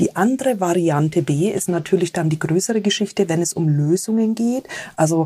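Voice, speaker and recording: Fairly low in pitch with ordinary variation, a woman speaks at a fairly quick pace, somewhat breathy, with a dark, mellow tone. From Germany, rural. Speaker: tech company sustainability manager. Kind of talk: interview.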